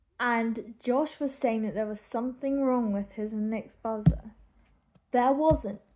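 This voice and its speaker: This woman has a dark, mellow tone and a fairly high pitch. She talks at a fairly slow pace with ordinary pitch variation. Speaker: YouTube reaction vlogger. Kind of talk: casual reaction vlog. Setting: at home in bedroom.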